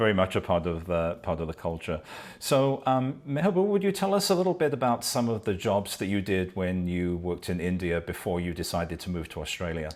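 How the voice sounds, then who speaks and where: Very deep and low in pitch, a man's voice moves at a fairly quick pace. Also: ordinary pitch variation. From UK. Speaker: podcast host. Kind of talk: interview.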